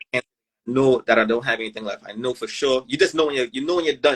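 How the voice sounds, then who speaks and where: Speaking at a very fast pace, a man holds a medium pitch. The sound is dry and close, with no echo. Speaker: amputee sharing his survival story. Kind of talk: casual interview, personal testimony. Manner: animated, fast.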